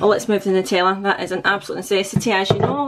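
A woman is speaking here. Noticeable background noise can be heard. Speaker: family budget vlogger. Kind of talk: casual vlog chat. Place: kitchen. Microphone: phone near.

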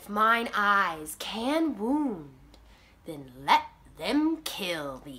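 The put-on character voice moves at a very slow pace. Its pitch swings very widely, and its loudness rises and falls sharply. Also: woman, medium pitch for a woman. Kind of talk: classical theatre monologue.

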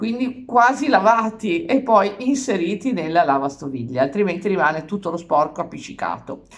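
A woman speaks at a moderate pace with music playing in the background. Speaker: vlogger. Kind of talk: casual vlog chat. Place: kitchen. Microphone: phone near.

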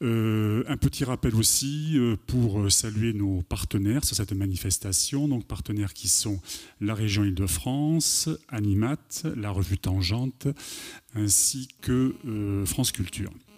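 At a very slow pace, a man with a fairly low pitch and ordinary pitch variation speaks over a quiet background. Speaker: event organizer. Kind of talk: formal introduction. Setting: stage with audience. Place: stage. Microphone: handheld.

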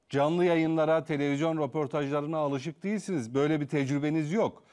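The man has a fairly high pitch. His pitch variation is ordinary. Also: quiet background. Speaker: TV talk show host; TV host. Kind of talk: live TV interview. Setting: TV studio. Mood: calm, polite, probing. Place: studio. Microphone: lapel.

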